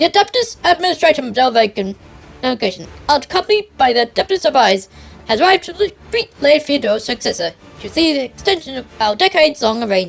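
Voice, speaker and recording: A woman puts on a character voice, pitched high with very wide pitch swings. She speaks at a very fast pace. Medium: virtual streamer. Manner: stern, clipped.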